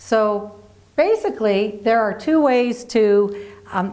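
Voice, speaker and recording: This woman speaks with a Philadelphia accent at a medium pitch. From Philadelphia, US East Coast. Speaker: marriage educator. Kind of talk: scripted presentation.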